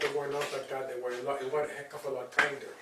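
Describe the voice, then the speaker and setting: A man talks at a fairly quick pace. Background noise is noticeable, and the room echo can be heard. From Cuba (Las Tunas, eastern island). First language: Spanish. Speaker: writer and journalist. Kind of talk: interview. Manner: halting, many repetitions.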